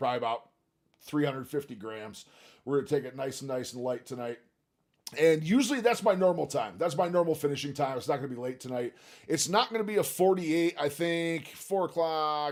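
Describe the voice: A man with a plain, everyday voice, fairly high pitch, and a fairly quick pace. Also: lively intonation.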